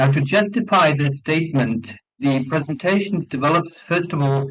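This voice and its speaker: A man speaks with a non-native accent at a fairly high pitch. His voice is somewhat breathy, with ordinary pitch variation. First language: not English. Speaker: law professor and conference speaker. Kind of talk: academic conference presentation. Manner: formal.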